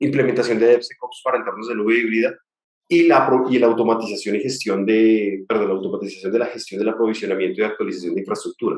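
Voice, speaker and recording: This man speaks at a medium pitch. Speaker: tech company executive giving a talk. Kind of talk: webinar presentation. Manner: fast.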